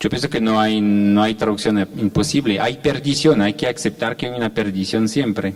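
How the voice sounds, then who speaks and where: Against noticeable background noise, a man with a French accent talks at a moderate pace with hardly any pauses, in a medium pitch with ordinary pitch variation. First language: French (speaking Spanish). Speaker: poet and translator. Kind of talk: panel talk. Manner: halting.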